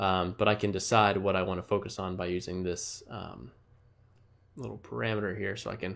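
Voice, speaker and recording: With vocal fry and ordinary pitch variation, a man speaks fairly quickly in a very deep, low voice. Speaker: designer and motion graphics artist. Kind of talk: tutorial. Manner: fast; halting, many fillers.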